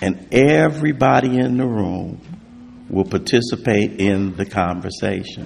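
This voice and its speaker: Very wide pitch swings and vocal fry mark this man's speech. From US West Coast, South Central Los Angeles. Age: 60s. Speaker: recovery speaker. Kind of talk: testimony.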